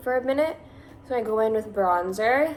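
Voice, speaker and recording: A woman is speaking. She has a Californian accent. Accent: Californian, Valley girl. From Massachusetts. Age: 20s. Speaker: beauty vlogger. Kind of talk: makeup tutorial. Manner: casual, chatty.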